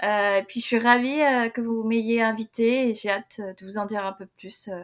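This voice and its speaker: A woman with a plain, everyday voice speaks fairly slowly in a fairly high pitch, her intonation fairly even but her loudness swinging widely. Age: 20s. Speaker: candle-making entrepreneur. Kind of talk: podcast interview.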